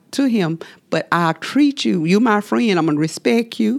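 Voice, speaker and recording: A fairly low-pitched woman's voice with very wide pitch swings. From US South, southwest Georgia. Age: 60s. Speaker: community elder. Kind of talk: casual group conversation.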